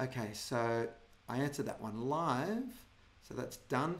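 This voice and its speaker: The speaker is a man with an Australian accent. His pitch moves in a lively way. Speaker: business marketing consultant hosting a webinar. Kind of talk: webinar presentation with Q&A. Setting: online webinar. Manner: fast.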